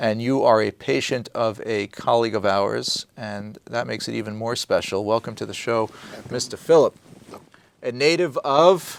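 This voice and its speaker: This man speaks at a medium pitch. His pace is moderate, and his pitch variation is ordinary. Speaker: doctor and TV show host. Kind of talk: TV interview. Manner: animated.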